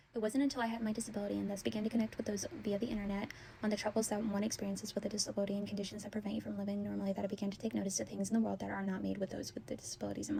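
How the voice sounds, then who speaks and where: A woman speaking at a very fast pace with hardly any pauses, over noticeable background noise. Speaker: college student. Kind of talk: informative class speech.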